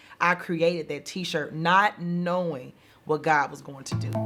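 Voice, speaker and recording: A woman with a Southern US accent, a fairly low pitch and an animated tone, on a very clean recording with a silent background. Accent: southern drawl. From US South, Mississippi. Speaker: pastor. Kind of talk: testimony.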